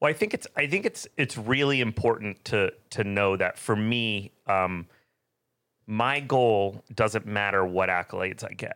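A man with an American accent speaks at a fairly low pitch and a fairly slow pace. His tone is bright and sharp, on a very clean recording with a silent background. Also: ordinary pitch variation. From California, Bay Area. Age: 40s. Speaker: chef and restaurant owner. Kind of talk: casual chat.

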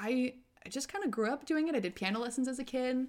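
Loud and very fast, a woman with an American accent speaks at a high pitch. The recording is very clean, with a silent background. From Northern California, Marin County. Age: 20s. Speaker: singer. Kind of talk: casual chat.

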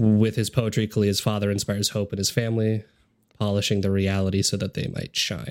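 On a very clean recording with a silent background, a man speaks at a fairly quick pace in a fairly low, monotone voice with flat intonation. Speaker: podcast host. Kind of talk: casual chat. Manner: casual, interrupting, filler-heavy.

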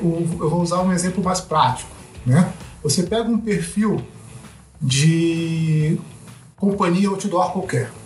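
With audible room echo and noticeable background noise, a man speaks in a high pitch with ordinary pitch variation. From Brazil, Rio de Janeiro (West Zone). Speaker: sociologist and mountaineer. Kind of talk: casual interview.

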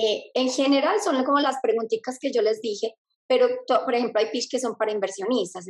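Her speed is very fast. The woman's pitch shifts in an ordinary way. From Colombia, Medellín. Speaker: speaker and mentor. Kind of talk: interview.

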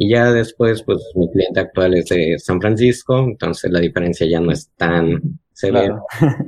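With an ordinary speaking voice, a man talks at a fairly slow pace in a fairly low pitch, his intonation lively, his loudness very even and his pauses hardly there. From Cancún, Mexico. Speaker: remote frontend developer and designer. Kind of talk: casual chat.

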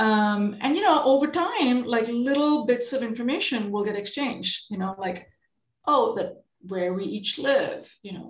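At a moderate pace, a somewhat breathy woman speaks with lively intonation on a very clean recording with a silent background. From India. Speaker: venture capitalist. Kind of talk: interview.

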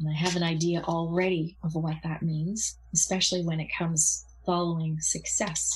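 At a moderate pace with hardly any pauses, a woman speaks in a somewhat breathy voice with monotone, flat intonation. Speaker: Reiki master and energy healer. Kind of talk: casual interview.

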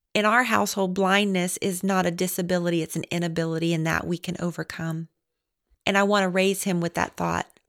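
A woman with an American accent and a fairly low pitch speaks at a fairly quick pace with fairly even intonation in an unremarkable speaking voice, recorded very cleanly against a silent background with a dry, close sound and no echo. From Florida panhandle, US South. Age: 30s. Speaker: mother of a blind child. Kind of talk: personal testimony.

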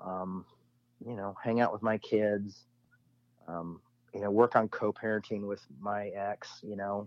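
Recorded with a dry, close sound with no echo over a quiet background, a man with a fairly low pitch speaks at a fairly slow pace. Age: 40s. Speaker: pastor and author. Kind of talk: casual interview chat.

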